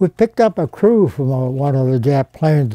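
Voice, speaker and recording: With an American accent, a man speaks at a moderate pace in a dark, mellow tone, the sound dry with no echo and the background quiet. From Rochester, Pennsylvania. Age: 80s+. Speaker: World War II Navy veteran. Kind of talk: interview answer. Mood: relaxed, reminiscing. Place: home room. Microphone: lapel.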